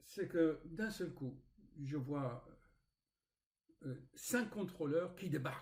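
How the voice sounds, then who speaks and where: A man speaks very slowly, leaving long, frequent pauses. His pitch sits fairly high and his intonation is lively. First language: not French (speaking French). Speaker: spiritual author and YouTuber. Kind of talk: casual vlog storytelling. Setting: home recording with screen recorder. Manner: hesitant, with fillers and repetitions.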